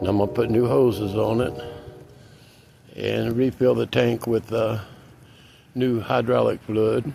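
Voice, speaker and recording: In a relaxed tone, a man talks at a fairly slow pace, pausing long and often. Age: 60s. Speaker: DIY repair vlogger. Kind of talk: casual how-to vlog. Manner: relaxed, frequent filler uh.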